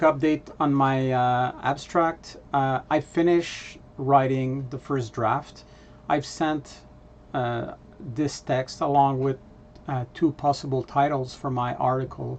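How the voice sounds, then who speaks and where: In a Quebec accent, a man talks at a very slow pace. His pitch is fairly high. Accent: French Canadian accent in English. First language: French. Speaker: vlogger, data analytics presenter. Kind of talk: casual vlog update. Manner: halting, many filler words.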